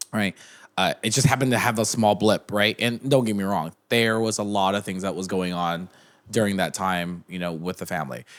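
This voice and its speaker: Fairly quick speech with ordinary pitch variation in a very clean recording with a silent background. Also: man, fairly low pitch for a man. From Southern California, Orange area. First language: Vietnamese. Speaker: entrepreneur. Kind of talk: podcast interview.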